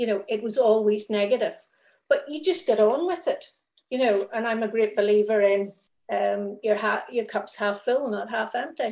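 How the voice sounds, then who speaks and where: A woman speaks with a Northern Irish accent. Her pitch is fairly high, with ordinary pitch variation. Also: moderate pace. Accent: Northern Irish (Belfast). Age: 50s. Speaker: thalidomide survivor. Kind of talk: testimony.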